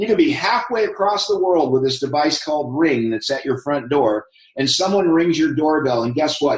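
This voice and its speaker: A man with an American accent, fairly high in pitch, with very wide pitch swings. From Southern California. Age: 50s. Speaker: network marketing presenter. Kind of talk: live webinar presentation. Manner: animated.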